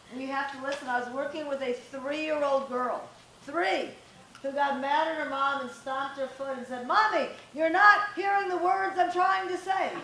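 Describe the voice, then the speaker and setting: A woman with a high pitch speaks in a raised, projected voice at a moderate pace, her tone animated and her intonation lively. Audible room echo and noticeable background noise are present. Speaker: parenting coach and guest speaker. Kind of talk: talk to live audience. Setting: stage with audience, no microphone. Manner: loud.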